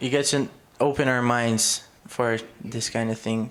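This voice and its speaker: A man's medium-pitched voice with a Portuguese accent, at a fairly slow pace and with fairly even intonation. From Brazil. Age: 20s. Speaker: college student. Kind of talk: audience contribution.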